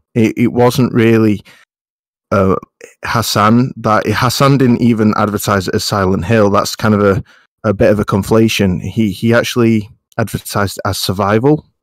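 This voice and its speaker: With a British accent, a man speaks at a medium pitch and with fairly even intonation. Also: moderate pace, very clean recording, silent background. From UK. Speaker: gaming podcast panelist.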